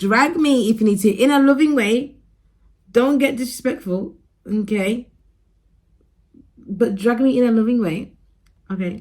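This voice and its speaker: Mumbling at a fairly slow pace, a woman with a fairly high pitch and ordinary pitch variation leaves long, frequent pauses. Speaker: vlogger. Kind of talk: casual vlog talk to camera.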